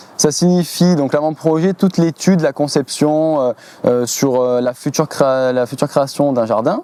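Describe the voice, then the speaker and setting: A man talks with ordinary pitch variation. There is noticeable background noise. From southern France, Var coast. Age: 20s. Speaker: landscape gardener. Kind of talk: interview. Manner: hesitant, many fillers.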